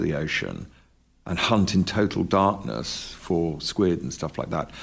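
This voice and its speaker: On a very clean recording with a silent background, a man with a British accent speaks fairly slowly in a very deep, low pitch with ordinary pitch variation. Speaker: documentary filmmaker. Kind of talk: interview. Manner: halting.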